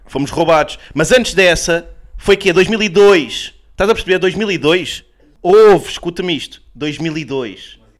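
A man talks fairly slowly in a high pitch, with ordinary pitch variation. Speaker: comedian podcast co-host. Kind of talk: casual comedic chat. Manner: animated.

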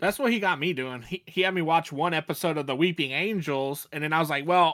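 A normal speaking voice from a man, fairly high in pitch with ordinary pitch variation at a fairly quick pace, in a very clean recording with a silent background. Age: 30s. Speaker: podcast host. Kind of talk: casual chat.

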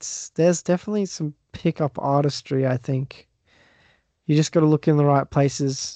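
In an Australian accent, a man with a fairly high pitch and a dark, mellow tone speaks at a moderate pace, the sound dry and close with no echo against a quiet background. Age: 20s. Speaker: podcast guest, fellow podcaster. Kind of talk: casual chat.

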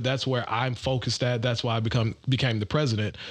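In a normal speaking voice, a man with an American accent talks at a fairly quick pace and medium pitch. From Detroit, Michigan. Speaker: golf group president. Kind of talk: podcast interview.

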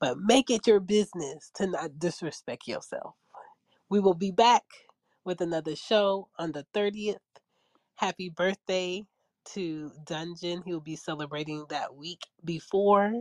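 A woman with a normal speaking voice talks at a fairly slow pace and medium pitch, with ordinary pitch variation, big swings in loudness, and a dry, close sound with no echo. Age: 30s. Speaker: podcast host. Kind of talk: casual chat.

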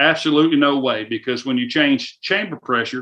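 A man with a Southern US accent, fairly high in pitch, animated and bright with a sharp tone, at a moderate pace. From US South. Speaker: firearms company influencer relations manager. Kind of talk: casual interview. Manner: animated, folksy.

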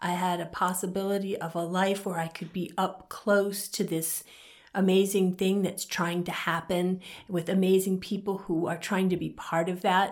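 With an American accent, a woman speaks at a moderate pace and medium pitch in a monotone, flat intonation. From US, partly Southern California. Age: 60s. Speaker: author and community member. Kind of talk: interview conversation. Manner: halting, with many fillers and repetitions.

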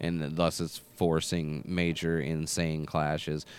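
A man with an American accent. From small rural US town. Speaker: podcast host. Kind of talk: casual chat.

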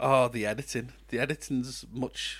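A man speaks at a medium pitch and a moderate pace. His tone is fairly bright, with fairly even intonation.

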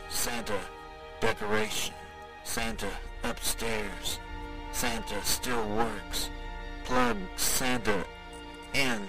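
Over loud music in the background, a man uses a robotic, put-on character voice at a medium pitch and a very slow pace. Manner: jumbled, robotic, fragmented.

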